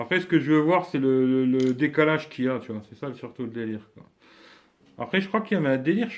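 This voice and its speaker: The man has an unremarkable speaking voice, fairly high in pitch, with lively intonation. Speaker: YouTuber doing a live stream. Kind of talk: casual live stream chat. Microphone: weak network connection, lag.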